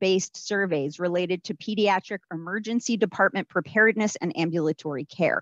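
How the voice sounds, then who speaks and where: Against a quiet background, a woman talks at a moderate pace with ordinary pitch variation, the sound dry with no echo. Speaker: event host introducing keynote. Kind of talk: formal introduction. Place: home room.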